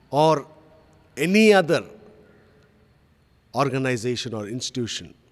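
A man talks, keeping a moderate pace. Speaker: pastor. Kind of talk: sermon. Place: church. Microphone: podium.

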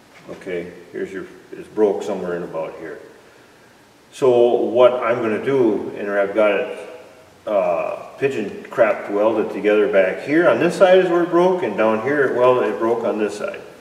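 Recorded with audible room echo, a man speaks at a moderate pace with big swings in loudness. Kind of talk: tutorial. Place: workshop. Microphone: camera far.

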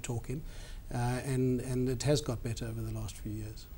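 Light background noise sits behind the speaker. A man talks at a moderate pace and medium pitch. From South Africa. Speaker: company CEO; interviewee. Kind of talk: TV business interview. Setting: studio. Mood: calm, measured. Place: studio. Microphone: lapel.

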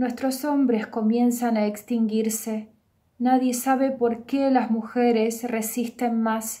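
A woman with a dark, mellow tone and fairly high pitch speaks very slowly at a very even loudness, her intonation monotone and flat. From Belarus. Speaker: poet. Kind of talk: self-introduction; poetry reading. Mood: calm, warm, reflective. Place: home room. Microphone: webcam.

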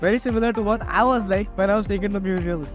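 Clear music plays behind a man with a high pitch and fairly even intonation, the sound dry with no echo. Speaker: travel vlogger. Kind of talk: casual vlog chat. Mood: cheerful, amused. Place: street. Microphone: phone near.

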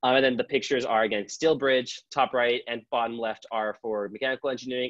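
A man with an American accent at a very fast pace, dry sound with no echo and a quiet background. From Southern California. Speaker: student campus ambassador. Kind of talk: informational presentation. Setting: video call. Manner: casual, playful. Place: home room. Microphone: earbuds.

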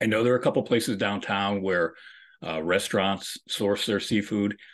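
Against a quiet background, a man with a very deep, low pitch talks at a moderate pace with fairly even intonation. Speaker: host of an online nutrition talk. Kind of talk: casual presentation to a call audience. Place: home room. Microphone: video call.

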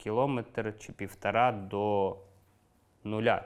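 Ordinary pitch variation marks a man's medium-pitched speech. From eastern Ukraine, Luhansk region. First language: Russian (speaking Ukrainian). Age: 30s. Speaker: war veteran. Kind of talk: interview testimony. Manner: casual, colloquial.

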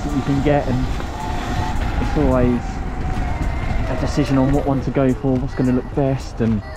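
A moderate pace over clear background music, with a dry sound and no echo. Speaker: rider vlogger. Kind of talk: casual vlog chat. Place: motorbike. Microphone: helmet.

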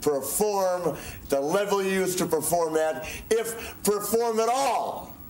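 A man's voice amid light background noise and audible room echo. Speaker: professional wrestler. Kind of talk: wrestling promo interview. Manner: taunting, boastful. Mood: boastful, taunting. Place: studio.

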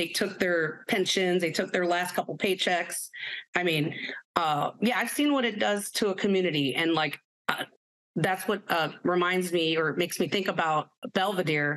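A woman with an American accent speaks in a plain, everyday voice at a moderate pace, her pitch fairly low with ordinary variation and her loudness very even. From Chicago, southeast side. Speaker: union electrician. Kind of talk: panel discussion.

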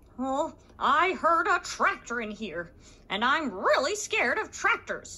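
A put-on character voice, high in pitch, moves at a fairly slow pace with very wide pitch swings.

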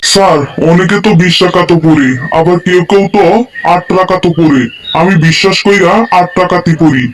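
A man's high, cartoonish character voice at a moderate pace, with clear background noise. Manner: deferential.

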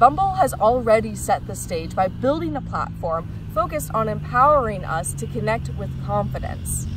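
A woman talks at a moderate pace with hardly any pauses and big swings in loudness. The sound is dry with no echo, though background noise is noticeable. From Missouri, Kansas City; Missouri. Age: 20s. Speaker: job applicant. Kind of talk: video job application pitch. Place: garden.

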